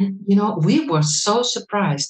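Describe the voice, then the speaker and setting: Speaking very slowly with a Dutch accent, a woman uses a medium pitch and lively intonation. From Netherlands. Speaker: medical thermographer and trainer. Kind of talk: lecture. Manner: halting.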